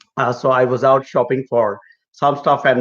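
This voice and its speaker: A man in a plain, everyday voice at a moderate pace. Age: middle-aged. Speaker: migration consultant. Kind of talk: live Q&A chat. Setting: live stream.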